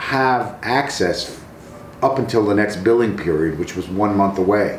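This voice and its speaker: A man with a fairly low voice talks at a moderate pace in a room with audible echo and noticeable background noise. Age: 60s. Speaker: retired teacher. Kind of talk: casual interview.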